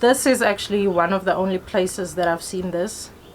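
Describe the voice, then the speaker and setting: A woman with a South African accent talks at a moderate pace. Her intonation is fairly even. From South Africa, Pretoria. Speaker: hair vlogger. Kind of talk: tutorial. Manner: casual, chatty.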